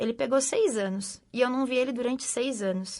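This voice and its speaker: Over a quiet background, a woman speaks at a moderate pace with a high pitch. Her tone is animated and her intonation lively. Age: 60s. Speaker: mother of a prisoner. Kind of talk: testimony.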